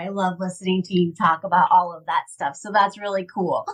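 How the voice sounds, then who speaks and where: The woman's voice is somewhat breathy. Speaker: podcast host. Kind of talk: casual chat. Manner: soft-spoken.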